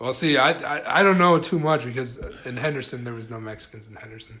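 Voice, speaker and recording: Noticeable background noise and audible room echo around a man's moderate-paced speech, his pitch varying in an ordinary way. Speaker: podcast host. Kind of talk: casual chat. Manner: laid back.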